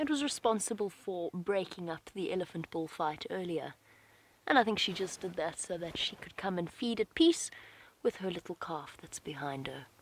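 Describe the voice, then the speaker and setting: With big swings in loudness, a woman speaks at a moderate pace, the sound dry with no echo and light background noise underneath. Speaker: presenter. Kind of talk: live wildlife commentary. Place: car.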